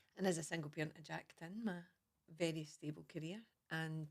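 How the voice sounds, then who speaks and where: Speaking fairly quickly with vocal fry, a woman with a Scottish accent has a very deep, low pitch. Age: 40s. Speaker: mindfulness teacher. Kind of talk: casual chat.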